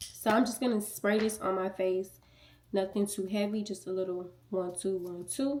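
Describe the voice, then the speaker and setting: Her pitch is medium and her intonation fairly even. The woman speaks at a moderate pace. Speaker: beauty youtuber. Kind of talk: tutorial. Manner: soft-spoken; casual.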